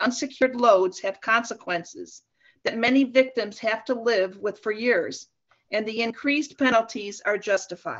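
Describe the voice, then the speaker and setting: In a plain, everyday voice, a woman with an American accent speaks at a fairly high pitch and a fairly slow pace. Her pitch variation is ordinary, and the background is quiet. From US Midwest. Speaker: city council member. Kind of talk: council report. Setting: video call. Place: home room. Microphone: video call.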